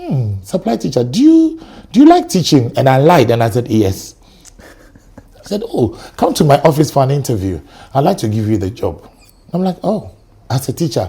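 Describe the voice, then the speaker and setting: With a Ghanaian accent, a man at a fairly high pitch speaks at a moderate pace, using very wide pitch swings and long, frequent pauses. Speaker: teacher. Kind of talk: casual chat. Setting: studio. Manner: animated.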